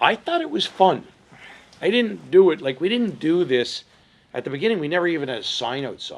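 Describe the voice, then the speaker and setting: Fairly quick pace and lively intonation. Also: man, high pitch for a man. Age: 60s. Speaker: entrepreneur. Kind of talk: interview.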